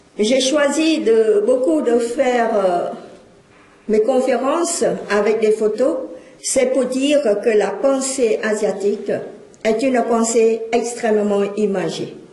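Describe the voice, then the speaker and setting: Speaking at a very slow pace with long, frequent pauses, a woman with fairly high pitch and ordinary pitch variation keeps a very even loudness amid noticeable background noise and audible room echo. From Cambodia. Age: 60s. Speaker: speaker. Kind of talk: lecture.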